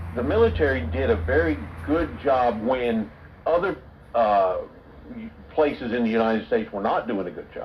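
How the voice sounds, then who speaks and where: A medium-pitched man's voice with very wide pitch swings, long, frequent pauses and noticeable background noise. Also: moderate pace. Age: 70s. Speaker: channel host. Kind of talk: casual chat.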